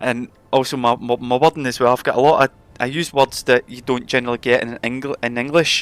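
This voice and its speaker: With a Scottish accent, a man talks at a fairly quick pace in a medium pitch and a flat monotone, the sound dry and close with no echo. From Scotland. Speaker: gaming streamer. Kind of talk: live stream chat.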